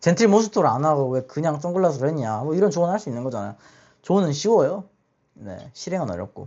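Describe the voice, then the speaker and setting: A man's very fast speech, fairly high in pitch and with very wide pitch swings. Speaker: podcast host. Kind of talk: casual monologue. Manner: halting.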